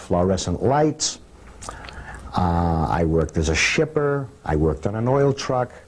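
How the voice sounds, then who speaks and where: A man with a Boston accent speaks at a fairly slow pace in a very deep, low pitch, with very wide pitch swings. Noticeable background noise runs beneath him. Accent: Boston-area New England. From Cambridge, Massachusetts. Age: 60s. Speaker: hotel doorman. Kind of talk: documentary interview monologue. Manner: conversational with frequent hesitations.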